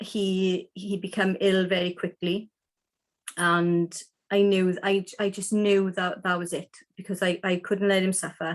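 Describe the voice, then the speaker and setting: The recording is very clean with a silent background, and a woman speaks at medium pitch. Her delivery is fairly slow and flat, in a monotone. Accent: strong Welsh. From South Wales. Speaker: animal communicator and healer. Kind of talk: interview. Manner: deliberately slow.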